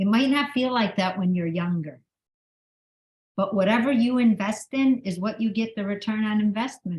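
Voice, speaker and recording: The voice belongs to a woman with a fairly high pitch. It sounds somewhat breathy. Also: ordinary pitch variation, moderate pace. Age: 60s. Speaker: author and motivational speaker. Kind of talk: motivational talk. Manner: animated.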